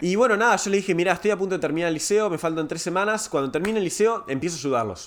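Talking very fast, a man uses a high pitch with ordinary pitch variation. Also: hardly any pauses. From Uruguay. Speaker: tech startup growth advisor. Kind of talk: casual chat.

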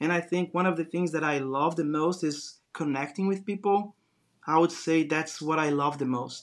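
A man with a Brazilian accent speaks at a moderate pace in a fairly high voice. His intonation stays fairly even, and the recording is very clean with a silent background. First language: Portuguese. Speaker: design business founder. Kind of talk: interview.

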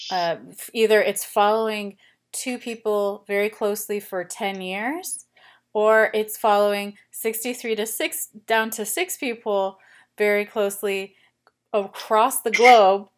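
A woman's fairly high voice with an American accent, at a very slow pace and with fairly even intonation, in a very clean recording with a silent background. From United States. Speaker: podcast host. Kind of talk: interview.

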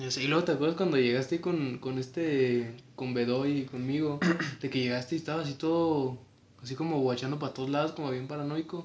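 A man with a Mexican accent speaks at a fairly quick pace in a fairly high pitch, his intonation fairly even, over noticeable background noise. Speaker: podcast co-host. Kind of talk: casual chat.

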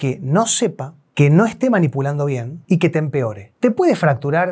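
Over a very clean recording with a silent background, a man with a fairly high pitch talks at a fairly slow pace, his pitch swinging very widely. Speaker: chiropractor / spine health professional. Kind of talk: educational explainer video.

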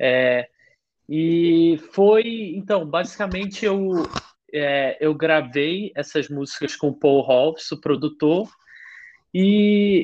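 This man talks at a very slow pace in a high pitch for a man, using ordinary pitch variation. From Rio de Janeiro, Brazil. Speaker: singer-songwriter. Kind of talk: casual chat. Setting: remote call from his bedroom. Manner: halting.

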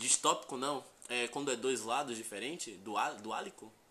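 A man's bright, sharp tone in a Bahian accent. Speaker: podcast co-host. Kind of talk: casual chat.

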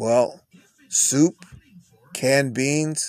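Flat and monotone, a man with a Texan accent speaks in a dry, close sound with no echo. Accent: Texan American English. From Texas. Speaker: podcast host, dialysis patient. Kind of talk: casual solo monologue.

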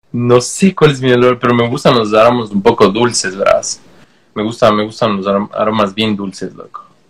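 A man with an ordinary speaking voice talks at a moderate pace, medium in pitch and with ordinary pitch variation. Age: 30s. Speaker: tattoo artist. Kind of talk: casual interview.

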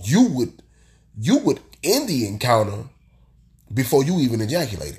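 An animated man speaks at a moderate pace with a medium pitch and very wide pitch swings. His voice is somewhat breathy, broken by long, frequent pauses. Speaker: solo podcaster. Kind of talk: casual monologue. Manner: animated, repetitive emphasis.

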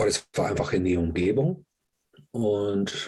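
Against a quiet background, a somewhat breathy man talks at a very slow pace with lively intonation. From England. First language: English (speaking German). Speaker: yoga teacher. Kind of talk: interview.

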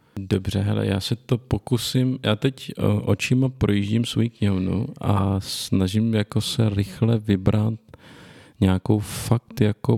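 A man speaks very slowly in a fairly low, dark, mellow voice with fairly even intonation. The sound is dry and close, with no echo. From northern Bohemia, Czechia (Litoměřice area). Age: 20s. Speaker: podcast host and protestant preacher. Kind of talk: casual chat.

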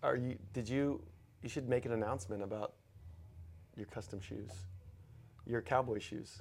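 In a very clean recording with a silent background, a somewhat breathy voice with an American accent speaks at a moderate pace, using ordinary pitch variation and long, frequent pauses. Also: man, medium pitch for a man. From Texas. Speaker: podcast co-host, gym owner. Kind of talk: casual chat.

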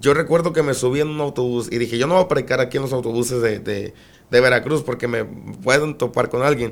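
The speech runs at a very fast pace with ordinary pitch variation in a very clean recording with a silent background. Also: man, medium pitch for a man. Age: 20s. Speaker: evangelist preacher. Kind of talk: testimony. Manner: emphatic, preaching style even in conversation.

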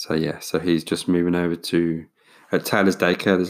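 In a very clean recording with a silent background, a man speaks with an English accent. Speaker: podcast host. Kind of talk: casual solo monologue. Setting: home recording with USB microphone. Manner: hesitant, many fillers.

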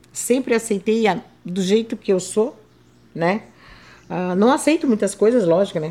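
Her tone dark and mellow, a woman speaks at a fairly high pitch with lively intonation. She goes fairly slowly, with long, frequent pauses. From southern Brazil, Santa Catarina coast. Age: 60s. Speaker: retired civil servant and seamstress, wheelchair user. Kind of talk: interview testimony.

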